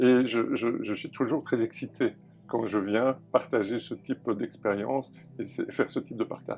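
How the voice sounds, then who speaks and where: Fairly even intonation carries the words along at a fairly slow pace. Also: man, medium pitch for a man. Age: 60s. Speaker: actor and former radio executive. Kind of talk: interview. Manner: hesitant, many fillers.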